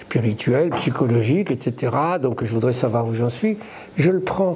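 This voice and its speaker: A man talks at a moderate pace. Behind him there is noticeable background noise. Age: 70s. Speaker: coach and conference speaker. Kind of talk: live conference talk. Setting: stage with audience. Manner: halting, many repetitions.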